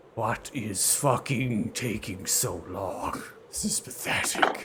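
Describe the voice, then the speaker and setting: Over loud background noise, a man puts on a raspy, guttural character voice at a medium pitch and a very slow pace. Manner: impatient, contemptuous.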